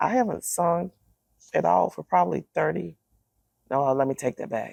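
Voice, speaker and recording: Very deep and low, a woman's voice carries vocal fry and very wide pitch swings at a moderate pace. The sound is dry and close, with no echo. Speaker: wellness entrepreneur and singer. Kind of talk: interview. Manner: quiet; halting.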